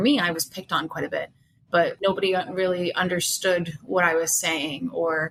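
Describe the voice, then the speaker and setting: A woman speaks at a moderate pace with an American accent and a medium pitch. Noticeable background noise runs through the clip. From Russia, adopted to US as child. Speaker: podcast host. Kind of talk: podcast interview.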